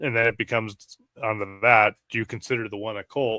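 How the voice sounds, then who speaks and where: A man with an American accent and a bright, sharp tone speaks at a fairly quick pace and medium pitch in a dry, close sound with no echo. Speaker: fantasy football podcast co-host. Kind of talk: casual chat. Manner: loud.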